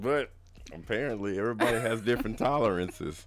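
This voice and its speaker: Light background noise sits behind the speaker. A man talks at a moderate pace. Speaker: livestream co-host reading viewer comments. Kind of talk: casual, slangy. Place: home room.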